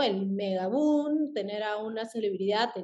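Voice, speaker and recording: This is a plain, everyday voice with ordinary pitch variation. It moves at a fairly slow pace. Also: woman. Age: 30s. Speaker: influencer marketing agency head. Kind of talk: podcast interview.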